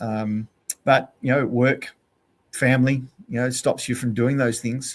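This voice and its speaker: A man with an Australian accent talks at a medium pitch in a monotone, flat intonation. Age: 60s. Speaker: endurance cyclist and outdoor educator. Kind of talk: podcast interview. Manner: hesitant, many fillers.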